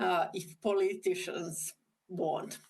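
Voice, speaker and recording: Her pace is very slow. This woman speaks with a non-native accent. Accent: non-fluent English. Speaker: government ministry official. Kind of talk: conference presentation. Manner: halting.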